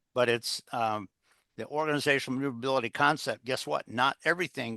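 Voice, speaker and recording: The man's tone is bright and sharp, and he moves at a fairly quick pace with ordinary pitch variation. The sound is dry and close with no echo, over a quiet background. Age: 70s. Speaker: executive coach and author. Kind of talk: interview. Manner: halting, many fillers.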